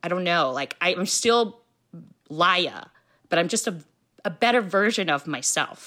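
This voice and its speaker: A woman speaks in a bright, sharp tone with ordinary pitch variation. The recording is very clean, with a silent background. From US, Filipino immigrant family. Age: 40s. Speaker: cancer survivor and art teacher. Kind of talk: personal testimony in interview.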